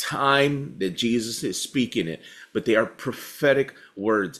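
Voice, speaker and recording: The background stays quiet. A man talks fairly slowly, with ordinary pitch variation. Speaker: pastor. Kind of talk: bible study teaching.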